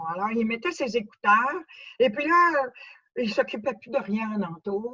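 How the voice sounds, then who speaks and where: With a Quebec accent, a woman speaks at a moderate pace. Her high voice moves through very wide pitch swings. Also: dry, close sound with no echo. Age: 70s. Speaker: cochlear implant user giving a talk. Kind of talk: testimony. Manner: halting, many hesitations.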